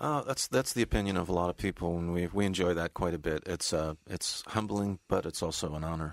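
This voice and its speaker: The speaker keeps a moderate pace with ordinary pitch variation, captured in a dry, close sound with no echo on a very clean recording with a silent background. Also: man, very deep, low pitch for a man. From California, US. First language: English (speaking Russian). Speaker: tribute band bassist and keyboardist. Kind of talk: radio interview.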